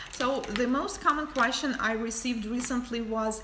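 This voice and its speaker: Her high voice comes through noticeable background noise and audible room echo as the woman talks at a fairly slow pace. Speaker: nail artist and educator. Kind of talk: livestream tutorial and Q&A. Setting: livestream. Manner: casual, some hesitations.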